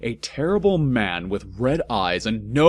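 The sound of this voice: The speaker reads in an unforced reading voice.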